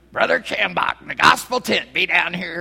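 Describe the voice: Pitched in the middle range, this put-on character voice comes with a Southern US accent. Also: moderate pace. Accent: southern American.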